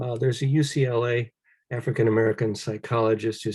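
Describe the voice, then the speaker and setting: Over a quiet background, a man speaks at a moderate pace in a somewhat breathy, medium-pitched voice with a dark, mellow tone. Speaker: study group leader. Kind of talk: presentation to discussion group.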